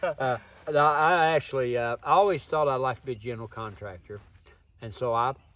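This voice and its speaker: Here a man with an Appalachian accent talks at a fairly quick pace, his medium pitch showing ordinary variation. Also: long, frequent pauses. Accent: Southern Appalachian American. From US South, East Tennessee (Smoky Mountains). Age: 60s. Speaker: survival instructor and bladesmith. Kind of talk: interview, personal storytelling. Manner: folksy, plain-spoken.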